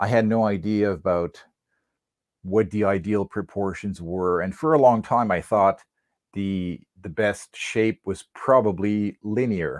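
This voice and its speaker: In a dry, close sound with no echo and a quiet background, a man with a fairly low pitch talks at a fairly slow pace with ordinary pitch variation. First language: French. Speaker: whip maker. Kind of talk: podcast interview. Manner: halting.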